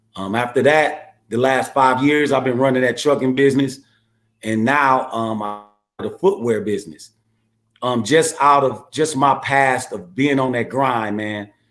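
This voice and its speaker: A medium-pitched man with an American accent and ordinary pitch variation, music in the background. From US Midwest, Milwaukee, Wisconsin. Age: 50s. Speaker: entrepreneur, former prisoner. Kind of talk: interview. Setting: podcast. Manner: hesitant, many 'um's.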